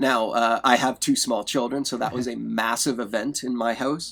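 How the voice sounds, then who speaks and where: A man's unremarkable speaking voice at a moderate pace with ordinary pitch variation, on a very clean recording with a silent background. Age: 40s. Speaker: sound designer. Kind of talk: interview.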